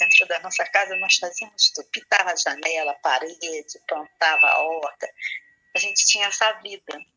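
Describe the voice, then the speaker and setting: Moderately paced female speech with big swings in loudness. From Brazil, Rio de Janeiro suburb. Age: 60s. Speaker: spiritual leader. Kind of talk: interview. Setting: radio program.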